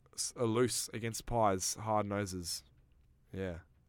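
In an Australian accent, a man speaks at a very slow pace in a very clean recording with a silent background. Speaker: football podcast host. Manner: excitable, overlapping, jokey fan.

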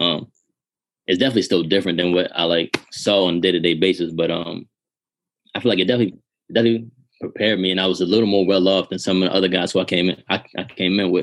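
Very fast speech from a man, very deep and low in pitch, with fairly even intonation. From Baltimore, Maryland. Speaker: pro football player. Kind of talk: casual chat.

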